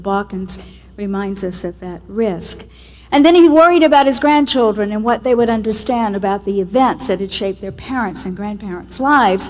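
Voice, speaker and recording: A woman talks with lively intonation at a fairly high pitch. Her pace is fairly quick, and there is noticeable background noise. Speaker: television executive producer. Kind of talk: award acceptance speech.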